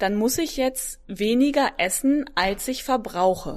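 A woman speaks very slowly in a high voice with lively intonation, on a very clean recording with a silent background. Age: 20s. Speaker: fitness coach. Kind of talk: casual interview.

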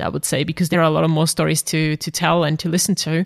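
The voice carries a German accent. The sound is dry and close with no echo, on a very clean recording with a silent background. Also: woman. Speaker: podcast host and psychologist. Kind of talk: interview.

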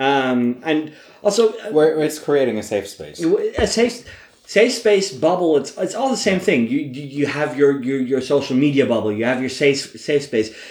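A man's pitch swings very widely as he speaks at a moderate pace amid noticeable background noise. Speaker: podcast co-host. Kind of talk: casual chat. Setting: home recording with drinks.

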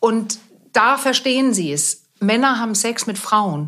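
A woman is heard over noticeable background noise. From Denmark. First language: Danish (speaking German). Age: 50s. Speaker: sex therapist. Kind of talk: interview.

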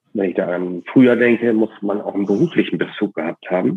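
A man's fairly low voice moves at a fairly quick pace, with ordinary pitch variation. Background music plays throughout. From northern Germany, East Frisia coast. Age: 30s. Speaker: ship captain running a sea burial company. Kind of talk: interview.

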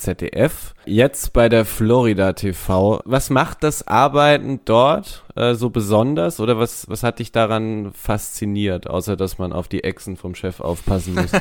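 An ordinary man's voice, described as a normal speaking voice, at medium pitch and a fairly slow pace with hardly any pauses, on a very clean recording with a silent background. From Baden, southwestern Germany. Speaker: podcast host. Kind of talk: casual interview chat.

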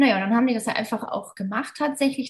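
A woman's somewhat breathy, fairly high voice keeps a fairly even intonation. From Mosel region, western Germany. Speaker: ayurveda hotel manager. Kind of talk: casual interview.

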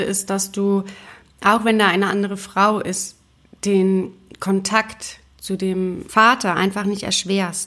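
At a fairly slow pace, a woman of medium pitch speaks with monotone, flat intonation. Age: 30s. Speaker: podcast host, single mother and graphic designer. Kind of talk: personal monologue podcast. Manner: casual with frequent filler words.

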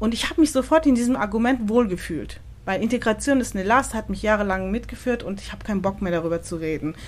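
At a very fast pace, a woman speaks with lively intonation and big swings in loudness. Her pitch is medium, with noticeable background noise. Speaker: podcast host. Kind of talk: casual interview conversation. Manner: hesitant, many fillers.

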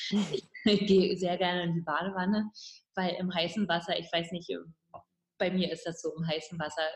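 The woman's voice is somewhat breathy and pitched fairly low. Her intonation stays fairly even. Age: 50s. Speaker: midwife and relationship author. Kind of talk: interview.

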